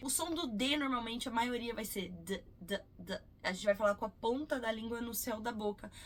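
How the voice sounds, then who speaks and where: A woman speaks in a somewhat breathy voice. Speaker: English teacher. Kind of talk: tutorial.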